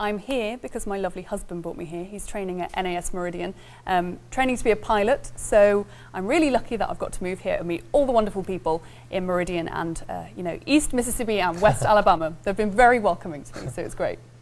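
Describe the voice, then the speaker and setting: A woman with an English accent and a medium pitch talks at a very fast pace, her intonation lively and her loudness swinging widely. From England. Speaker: TV news anchor. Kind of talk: news reading; casual chat.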